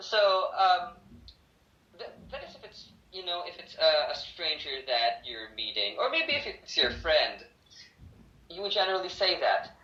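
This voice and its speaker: A man speaks at a moderate pace with long, frequent pauses and big shifts in loudness, and the room echo can be heard. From Philippines, Bacolod (Negros Occidental). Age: 20s. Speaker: English teacher and law student. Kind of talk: casual interview.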